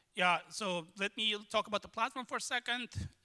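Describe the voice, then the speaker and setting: A man with a non-native accent projects a raised voice in a bright, sharp tone with ordinary pitch variation. The recording is very clean with a silent background, the sound dry and close with no echo. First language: not English. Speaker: tech consultant, conference speaker. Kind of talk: lightning talk. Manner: hesitant, many fillers.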